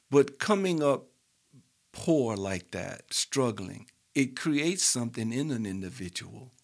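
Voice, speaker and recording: A man at medium pitch with a New Orleans accent and very wide pitch swings, on a very clean recording with a silent background. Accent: New Orleans Southern US. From US South, New Orleans. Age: 60s. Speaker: retired industrial supervisor. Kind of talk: casual chat.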